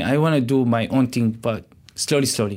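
A man speaks at medium pitch with an Arabic accent. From Syria, Damascus. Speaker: chef and restaurant owner. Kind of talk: interview. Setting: radio studio. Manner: halting.

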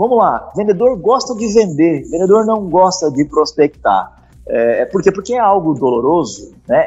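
A man speaks at a high pitch and a fairly slow pace. His pitch swings very widely. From Curitiba, southern Brazil. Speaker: sales startup founder and teacher. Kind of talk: casual interview.

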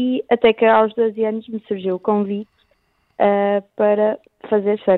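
In monotone, flat intonation, a woman with a fairly high pitch speaks at a fairly slow pace with long, frequent pauses. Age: 18. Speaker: blind surfing athlete. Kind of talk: radio interview. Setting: phone call.

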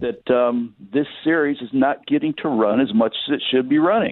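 In an American accent, an ordinary speaking voice moves at a moderate pace with lively intonation. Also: man. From Michigan, US Midwest. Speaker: racetrack announcer. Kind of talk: casual chat.

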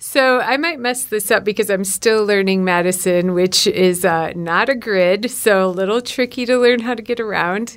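A woman's medium-pitched voice at a moderate pace, ordinary in pitch variation, with hardly any pauses. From Wisconsin, rural Shawano County. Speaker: newspaper executive editor. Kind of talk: interview.

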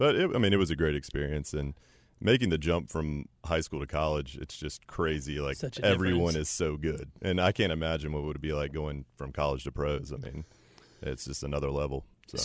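A man with an American accent speaks at a moderate pace in a very deep, low, booming voice with vocal fry and ordinary pitch variation. The recording is very clean, with a silent background. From Chapel Hill, North Carolina. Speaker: podcast guest.

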